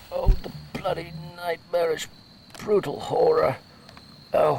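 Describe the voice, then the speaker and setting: A man's put-on character voice at a fairly slow pace. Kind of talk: audio drama dialogue. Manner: distressed, anguished.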